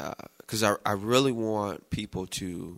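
Very slowly and with fairly even intonation, a man with an American accent speaks in a very clean recording over a silent background. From United States. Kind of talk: casual Bible discussion.

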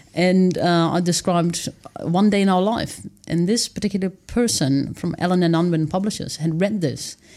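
Here a woman speaks in a Dutch accent at a moderate pace. Her pitch is fairly low, with ordinary variation. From Netherlands. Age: 30s. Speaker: author and wilderness dweller. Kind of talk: casual interview. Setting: studio.

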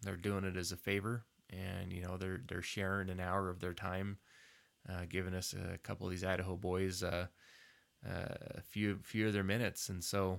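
A normal speaking voice at a moderate pace, in a very clean recording with a silent background. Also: man. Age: 40s. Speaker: podcast co-host. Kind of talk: casual chat.

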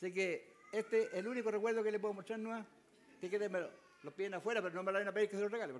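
A man's high-pitched voice, with ordinary pitch variation, moves at a very fast pace. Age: 70s. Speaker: elderly preacher. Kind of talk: testimony. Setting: church.

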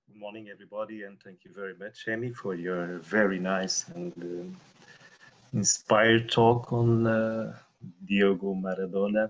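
Speaking in a Portuguese accent at a moderate pace, a man with a fairly low pitch keeps fairly even intonation amid big swings in loudness. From Portugal. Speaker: meditation participant. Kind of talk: group discussion.

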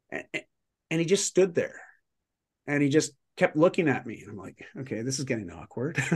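Moderately paced speech from a man with a Canadian accent, fairly high-pitched with vocal fry, lively intonation and big swings in loudness. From Canada. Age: 40s. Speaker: lifestyle mentor and performance coach. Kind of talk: casual interview.

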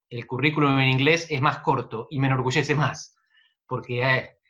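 This man's bright, sharp voice sits at a fairly high pitch, moving at a fairly slow pace with fairly even intonation. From Argentina, Buenos Aires province. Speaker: political scientist. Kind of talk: interview.

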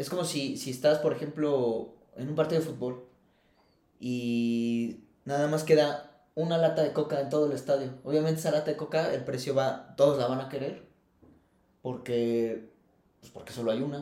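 With audible room echo, the speaker uses a dark, mellow tone at a moderate pace, fairly even intonation and big swings in loudness. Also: man, fairly high pitch for a man. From Mexico, Querétaro. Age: 30s. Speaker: environmental consultant. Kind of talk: casual interview chat.

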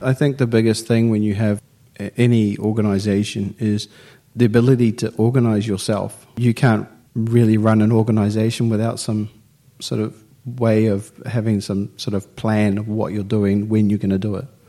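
Moderately paced, a man speaks with a New Zealand accent in a fairly low voice. His dark, mellow tone stays monotone and flat. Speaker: business student. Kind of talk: interview.

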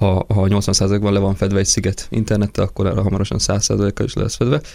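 A man speaks at a fairly low pitch in a dark, mellow tone. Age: 20s. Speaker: tourism company executive. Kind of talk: radio interview.

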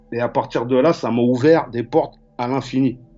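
Music plays in the background as a man talks. His voice sits at a medium pitch with ordinary pitch variation. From Paris suburbs (Val-de-Marne, Choisy-le-Roi). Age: 40s. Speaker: graffiti artist and painter. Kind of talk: casual interview chat. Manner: halting, repetitive.

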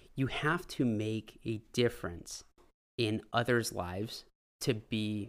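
A man with a Californian accent at medium pitch, in a very clean recording with a silent background. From California, San Francisco Bay Area. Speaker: salesman. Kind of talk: casual chat.

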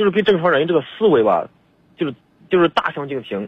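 A man speaks at a moderate pace. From Hebei, China. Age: 30s. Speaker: caller. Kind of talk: phone-in advice call. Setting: phone call. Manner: halting, stammering.

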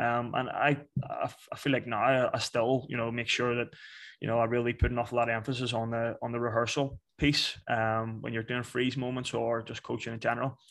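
Talking at a fairly quick pace, a man with a strong Northern Irish accent keeps a medium pitch and a monotone, flat intonation. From Belfast, Northern Ireland. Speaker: soccer coach. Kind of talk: interview, casual chat.

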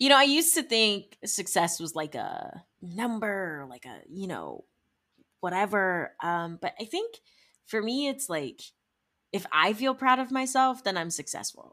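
A woman with a Midwestern US accent speaks at a fairly slow pace in a fairly high pitch, her tone animated, bright and sharp. Her pitch swings very widely and her loudness shifts in big swings. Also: very clean recording, silent background. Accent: US Midwest. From Ohio, Cleveland area. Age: 20s. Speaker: music industry entrepreneur. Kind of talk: casual interview.

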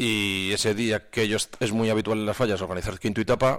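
On a very clean recording with a silent background, a man with a fairly low voice speaks with fairly even intonation. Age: 40s. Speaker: cultural association president. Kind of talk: radio interview. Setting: radio studio.

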